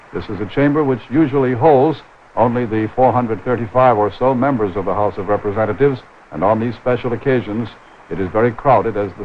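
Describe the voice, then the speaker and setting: Talking at a very fast pace, a man with a fairly low voice is heard over noticeable background noise. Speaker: TV news commentator. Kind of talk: live broadcast commentary.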